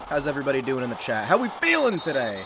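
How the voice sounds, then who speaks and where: The speaker has an American accent. There is noticeable background noise. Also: man. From United States. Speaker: gaming streamer. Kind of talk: live commentary. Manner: animated.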